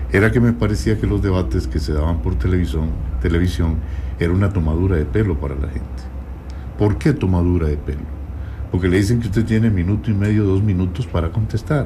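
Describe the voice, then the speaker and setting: A man's very deep, low voice at a fairly quick pace with very wide pitch swings, amid audible room echo and noticeable background noise. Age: 70s. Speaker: presidential candidate. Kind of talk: radio interview. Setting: radio studio.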